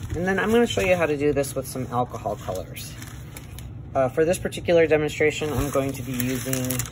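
A man with an American accent talks at a very fast pace, his pitch fairly high with ordinary variation. Light background noise is present. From Wisconsin, USA. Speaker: airbrush artist. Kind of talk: tutorial demonstration. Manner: casual, hesitant.

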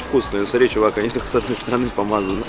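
A man speaks in a dry space with no echo. Noticeable background noise sits under his voice. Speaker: travel food vlogger. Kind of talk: casual vlog chat. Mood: relaxed, wry complaining. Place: street.

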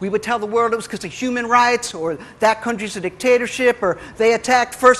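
With an American accent, a man speaks in a raised, projected voice. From New York City. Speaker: spoken word poet. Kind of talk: live spoken word poetry performance. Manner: brash, aggressive satirical rant. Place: stage.

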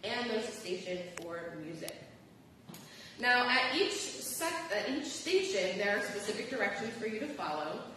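Light background noise and strong room echo surround a woman's voice. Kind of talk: service instructions to congregation. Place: church.

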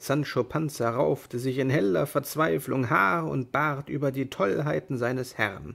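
The delivery is dramatic and animated, fairly slow in pace, with hardly any pauses. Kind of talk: dramatic narration of a tale, reading aloud. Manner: dramatic, animated, voicing characters; expressive storytelling with changing tone.

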